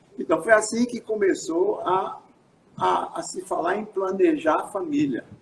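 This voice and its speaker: A man talks fairly slowly at an extremely high pitch, with very wide pitch swings and big swings in loudness. Background noise is noticeable. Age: 80s+. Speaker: physician and researcher. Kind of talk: interview on live stream. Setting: live stream broadcast. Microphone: some echo.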